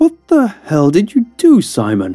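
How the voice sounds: A man shouting in a strained, gravelly, high put-on character voice, with faint music in the background. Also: dark, mellow tone.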